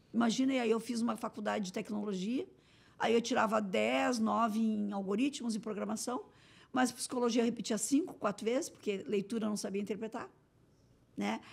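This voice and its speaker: Talking at a fairly quick pace, a woman with a fairly high pitch shows vocal fry and ordinary pitch variation. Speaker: municipal innovation secretary. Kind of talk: interview. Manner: very fast; run-on, without pauses.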